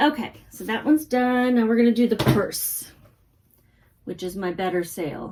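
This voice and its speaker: An American accent with lively intonation and big swings in loudness. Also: woman, fairly high pitch for a woman, moderate pace. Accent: mild Texas accent, stronger lately. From grew up moving around as Army brat, Texas family. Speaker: online reseller. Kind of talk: casual vlog chat.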